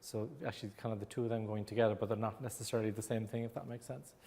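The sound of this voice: A man talks very fast with an Irish accent. His dark, mellow voice sits fairly low, with fairly even intonation.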